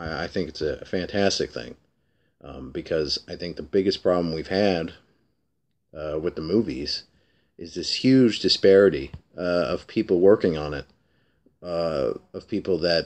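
A man's very deep, low voice with vocal fry, moderate pace, ordinary pitch variation and big swings in loudness. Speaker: comic book vlogger. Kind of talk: casual vlog. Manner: hesitant, many fillers. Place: home room. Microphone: webcam.

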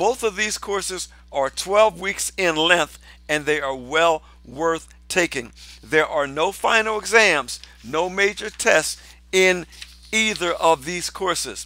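A man's bright, sharp voice with ordinary pitch variation, at a very slow pace, dry and with no echo. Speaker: pastor. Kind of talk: promotional address to viewers. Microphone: headset.

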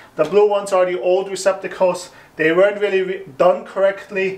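A man speaks at a fairly quick pace. His pitch is high. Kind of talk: tutorial. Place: empty room. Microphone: camera far.

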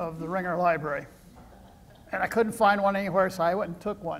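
In a Midwestern US accent, a man talks with a high pitch. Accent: US Midwest. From Iowa, small town. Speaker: retired professor and former mayor; retired professor, former mayor. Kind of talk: lecture. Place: hall. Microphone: podium.

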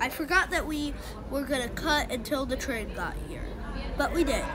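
A woman speaks in a raised, projected voice. Crowd noise fills the background. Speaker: vlogger filming commute. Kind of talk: casual vlog chat. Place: station. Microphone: phone near.

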